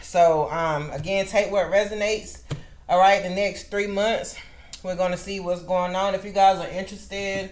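Monotone, flat intonation from a woman at a moderate pace. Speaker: tarot reader. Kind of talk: casual vlog chat. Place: home room. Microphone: webcam.

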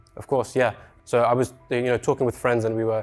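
Over faint background music, a man talks at a very fast pace in a monotone, flat delivery. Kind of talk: presentation and interview answer. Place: studio. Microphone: lapel.

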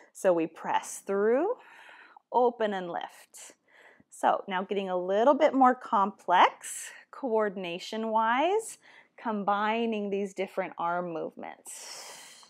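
Very slow pace and a calm tone over a quiet background. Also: woman, ordinary pitch variation. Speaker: fitness instructor. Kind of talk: guided Pilates class instruction. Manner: calm, encouraging, clear cueing; steady, measured pace. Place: home room.

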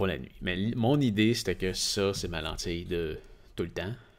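A man with a Quebec accent speaks at a very deep, low pitch and a fairly slow pace. His intonation is lively and his voice shows vocal fry. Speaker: tech podcast co-host. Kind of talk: casual chat. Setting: live stream. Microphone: studio mic.

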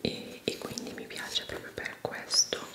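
Very slowly, a woman speaks in a whisper. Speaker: beauty vlogger. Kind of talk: ASMR vlog, makeup talk to camera. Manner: whispered. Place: bathroom.

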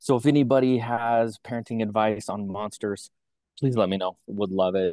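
A man with a fairly low pitch and a dark, mellow tone talks at a moderate pace with fairly even intonation. The sound is dry with no echo over a quiet background. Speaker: company regional representative. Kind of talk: motivational talk. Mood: upbeat, warm, joking. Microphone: video call.

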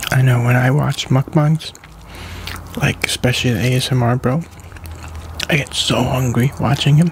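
Light background noise sits under a dry sound with no echo as a man speaks with fairly even intonation and long, frequent pauses. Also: moderate pace. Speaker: ASMR mukbang creator. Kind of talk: casual talk to camera. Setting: home recording with a staticky microphone. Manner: soft-spoken, whispered. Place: home room. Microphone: studio mic.

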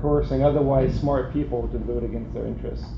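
A man speaks over noticeable background noise. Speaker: presenter. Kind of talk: lecture. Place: hall.

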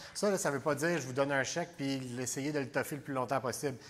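A man speaks with a Quebec accent. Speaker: election candidate. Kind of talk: political debate. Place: hall. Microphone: lapel.

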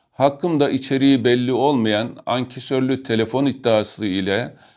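A man with an unremarkable speaking voice and a medium pitch talks at a moderate pace with ordinary pitch variation. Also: quiet background. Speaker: retired army colonel. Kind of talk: reading aloud. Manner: formal.

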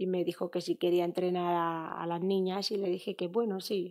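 Against a quiet background, a dark, mellow voice moves at a moderate pace with monotone, flat intonation. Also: woman. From Spain, Fuenlabrada (Madrid); Madrid. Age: 30s. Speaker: footballer; interview guest. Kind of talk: interview. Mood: relaxed, reflective, sometimes emotional. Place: studio. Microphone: studio mic.

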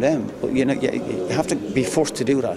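A man at a fairly quick pace with ordinary pitch variation, loud background noise and a dry sound with no echo. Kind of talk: interview answer. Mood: disappointed, reflective. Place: empty room.

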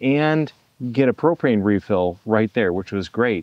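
The speech moves at a moderate pace, the sound dry with no echo and the background quiet. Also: man. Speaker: campground host. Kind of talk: casual vlog tutorial. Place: open country. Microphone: phone near.

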